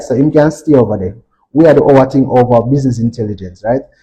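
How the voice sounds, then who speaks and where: A man speaks at a fairly high pitch, his tone dark and mellow and somewhat breathy. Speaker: stock market analyst presenter. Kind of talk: financial presentation.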